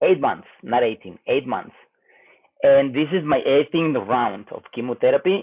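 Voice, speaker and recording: A man speaks with a Spanish accent. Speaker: cancer patient vlogger. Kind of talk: personal health update vlog. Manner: halting, hesitant.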